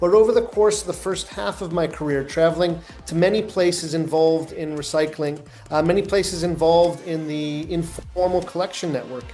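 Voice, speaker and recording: A man with a Canadian accent, high pitch, fairly even intonation and a fairly quick pace, with audible room echo and noticeable background noise. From Canada. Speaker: recycling business director. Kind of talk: interview.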